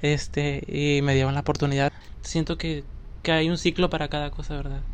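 At a fairly high pitch, a man speaks in a monotone, flat way at a moderate pace. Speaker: actor and children's entertainer. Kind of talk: casual interview chat.

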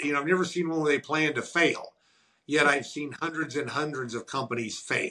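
A man speaks with a bright, sharp tone at a fairly high pitch. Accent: Missouri. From US Midwest, rural southern Missouri. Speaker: entrepreneur and author. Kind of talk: interview.

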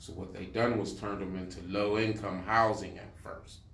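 Audible room echo surrounds a man whose somewhat breathy voice sits fairly low in pitch. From Pittsburgh, US. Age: 60s. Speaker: community activist and urban farmer. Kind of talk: interview. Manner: animated.

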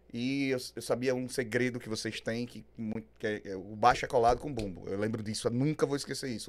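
At a fairly quick pace with hardly any pauses, a man with an unremarkable speaking voice talks at a medium pitch with fairly even intonation. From Aracaju, Sergipe, Brazil. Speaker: rock singer-songwriter. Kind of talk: casual interview chat.

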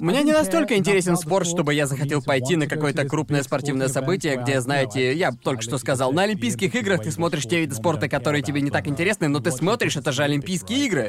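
Over noticeable background noise, a man talks at a very fast pace with hardly any pauses, lively intonation and very even loudness. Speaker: podcast host. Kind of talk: casual banter podcast. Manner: casual, swearing.

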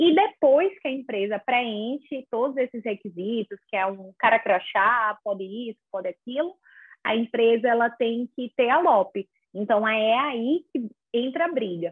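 A woman with a plain, everyday voice speaks fairly slowly at a fairly high pitch, with lively intonation. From Brazil, small town in inland Alagoas. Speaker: lawyer in regulatory law. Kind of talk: casual interview.

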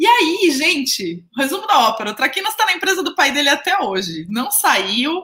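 A woman's high, bright, sharp voice, raised and projected, with very wide pitch swings at a moderate pace. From Brazil, Jundiaí (São Paulo interior). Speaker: career mentor and podcast host. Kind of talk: casual storytelling monologue. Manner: chatty, frequent fillers.

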